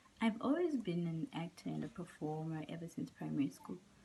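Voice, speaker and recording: Her tone is dark and mellow, somewhat breathy. The woman talks at a moderate pace. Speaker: actress. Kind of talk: interview.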